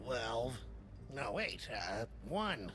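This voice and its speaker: A put-on character voice sits at a low-to-middle pitch. Loud background noise runs underneath. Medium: video game. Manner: mopey, self-pitying.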